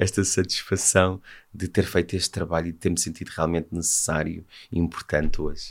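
A man's very deep, low voice, monotone and flat, at a fairly quick pace. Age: 40s. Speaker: humanitarian NGO director. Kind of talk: interview.

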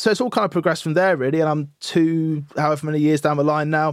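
A man with a British accent speaks at a fairly high pitch against a quiet background. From UK. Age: 30s. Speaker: audio engineer. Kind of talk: interview.

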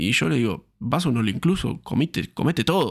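On a very clean recording with a silent background, a man of medium pitch speaks at a moderate pace with lively intonation and vocal fry. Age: 20s. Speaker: fitness coach and podcast host. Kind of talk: solo podcast monologue. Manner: hesitant, frequent fillers and repetitions.

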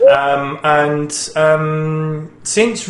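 Noticeable background noise under a man's fairly high pitch. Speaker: gaming show host. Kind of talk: casual chat. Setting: studio.

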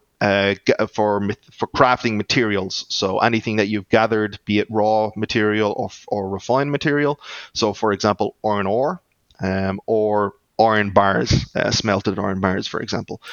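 This man talks with an Irish accent, his fairly low voice held to a fairly even intonation. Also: moderate pace. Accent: Irish, noticeable. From Ireland. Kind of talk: casual interview, explaining product.

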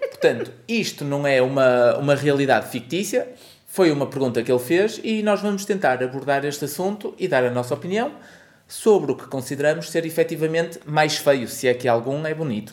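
A man with an ordinary speaking voice talks at a fairly quick pace, his fairly high pitch rising and falling in lively intonation. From northern Portugal, Porto (Aldoar). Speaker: podcast co-host and parent. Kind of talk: casual chat.

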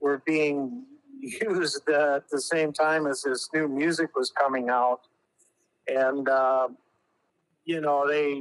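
Very slowly, a man with a fairly high pitch speaks in a dry, close sound with no echo. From Southeast Alaska (Juneau). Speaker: interviewee recalling youth. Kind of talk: oral history interview. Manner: halting, many fillers.

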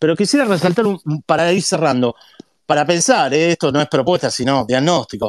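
This man has a plain, everyday voice, fairly high in pitch, with ordinary pitch variation and a moderate pace. The sound is dry and close with no echo, very clean, over a silent background. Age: 50s. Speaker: economist and professor. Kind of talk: interview, economic analysis.

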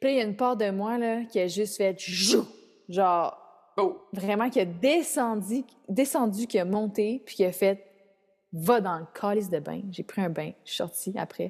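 Animated and fairly slow, a woman speaks at medium pitch with ordinary pitch variation and big swings in loudness. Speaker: spiritual coach, mother. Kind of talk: casual interview chat. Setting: remote call from Mexico.

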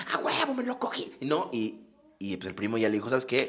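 There is noticeable background noise. A man speaks with an Acapulco accent. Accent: coastal Acapulco Mexican Spanish. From Mexico, Acapulco (Guerrero coast). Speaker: podcast co-host. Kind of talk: casual chat.

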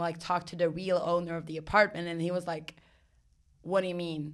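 The voice carries a Swedish accent and a monotone, flat intonation. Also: woman. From Sweden. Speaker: actress and singer, clown. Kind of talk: casual chat, interview. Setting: recording in New York.

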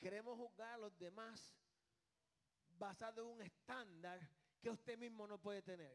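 Animated in tone, a man talks with a high pitch and ordinary pitch variation. His moderate pace is broken by long, frequent pauses. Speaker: pastor. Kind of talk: sermon.

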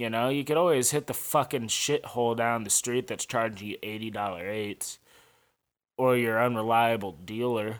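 On a very clean recording with a silent background, a man with an American accent speaks at a moderate pace and medium pitch, with ordinary pitch variation and an unremarkable speaking voice. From St. Louis, Missouri, US. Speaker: podcast host. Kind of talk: casual solo monologue. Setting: apartment kitchen/dining room.

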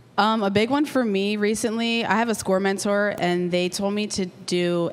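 Using a normal speaking voice, a woman with an American accent speaks at a medium pitch with ordinary pitch variation. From Lancaster, Pennsylvania. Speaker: artist and entrepreneur. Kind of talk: live panel discussion. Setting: stage with audience.

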